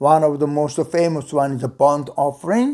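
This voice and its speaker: A man speaks with a non-native accent. His voice has a fairly high pitch and a dark, mellow tone. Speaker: Bible teacher. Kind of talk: lecture. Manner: halting, many fillers.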